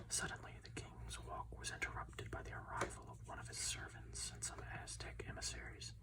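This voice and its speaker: The speaker is soft-spoken and talks at a moderate pace. Noticeable background noise runs underneath. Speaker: ASMR content creator. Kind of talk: audiobook-style reading of a story.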